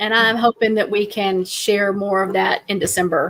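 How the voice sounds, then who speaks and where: A woman with a strong Southern US accent and fairly even intonation. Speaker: true crime podcast host. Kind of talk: casual chat.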